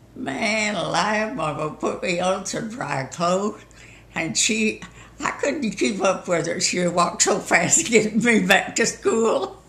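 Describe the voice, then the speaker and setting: A woman with a Southern US accent talks at a fairly slow pace, her intonation lively. Noticeable background noise and audible room echo surround her. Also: medium pitch for a woman. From US South. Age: 90s. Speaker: storyteller. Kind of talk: casual chat.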